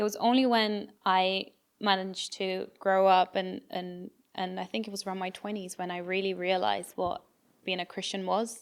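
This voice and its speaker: A woman with a British accent, monotone and flat in intonation, at a moderate pace, on a very clean recording with a silent background. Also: medium pitch for a woman. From England (moved from Brazil at eight). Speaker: podcast co-host. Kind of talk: testimony.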